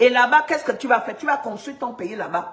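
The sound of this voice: A woman talks at a fairly quick pace with lively intonation. Her fairly bright tone carries audible room echo.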